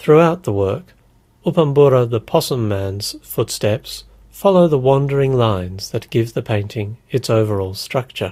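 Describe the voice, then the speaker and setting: A man with an Australian accent speaks at a moderate pace and medium pitch, somewhat breathy and with lively intonation. The recording is very clean with a silent background. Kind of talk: encyclopedia article reading.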